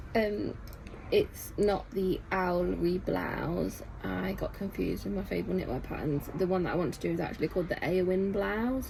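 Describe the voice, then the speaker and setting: With a Nottingham accent, a woman speaks at a moderate pace amid audible room echo. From Nottingham, England. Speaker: knitting shop owner and crafting vlogger. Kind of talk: casual chat.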